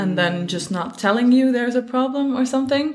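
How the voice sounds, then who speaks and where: A woman with a Dutch accent and lively intonation. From Netherlands. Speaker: horse riding guide and photographer. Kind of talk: casual chat.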